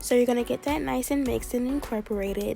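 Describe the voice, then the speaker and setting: A woman with an American accent and lively intonation at a fairly quick pace, over noticeable background noise. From Maryland. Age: 20s. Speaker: beauty YouTuber. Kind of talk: casual tutorial talk to camera.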